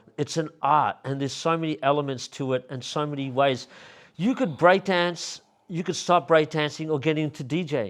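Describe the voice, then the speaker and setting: Fairly high-pitched man with an Australian accent, ordinary pitch variation and a moderate pace, on a very clean recording with a silent background. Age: 50s. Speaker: hip hop artist and club promoter. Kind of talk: casual interview.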